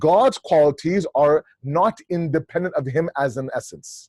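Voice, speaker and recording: Somewhat breathy and pitched fairly high, a man speaks in a dry, close sound with no echo. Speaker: Islamic lecturer. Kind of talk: lecture. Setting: video call. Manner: fast.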